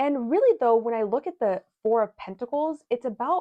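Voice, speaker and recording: With lively intonation, a woman talks at a moderate pace and a fairly high pitch. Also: dry, close sound with no echo. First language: not English. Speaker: tarot and astrology reader. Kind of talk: tarot reading monologue. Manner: halting, many restarts and fillers; casual.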